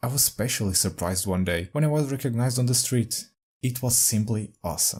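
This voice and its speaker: A man with a non-native accent speaks at medium pitch with lively intonation and a somewhat breathy voice. The recording is very clean, with a silent background. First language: not English. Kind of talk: casual talk to camera.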